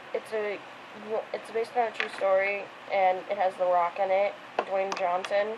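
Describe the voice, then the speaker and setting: With long, frequent pauses, a woman speaks at a medium pitch in a flat monotone over noticeable background noise. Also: moderate pace. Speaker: video blogger. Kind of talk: casual monologue.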